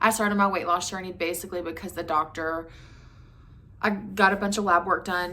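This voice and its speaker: A woman talks with an Appalachian accent at a fairly quick pace. Her medium pitch holds fairly even intonation. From West Virginia. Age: 30s. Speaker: vlogger. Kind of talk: casual chat. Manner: fast.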